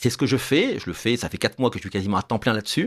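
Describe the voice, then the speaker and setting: Speaking at a very fast pace, a man with a medium pitch uses lively intonation, and the recording is dry and close with no echo. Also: very clean recording, silent background. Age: 60s. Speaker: political candidate. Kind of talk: radio interview.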